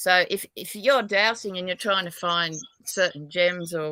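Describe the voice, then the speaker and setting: A woman speaks fairly slowly in a fairly low voice with a bright, sharp tone. Her intonation stays fairly even. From Australia, New South Wales. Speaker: psychic dowser. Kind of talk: interview. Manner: halting.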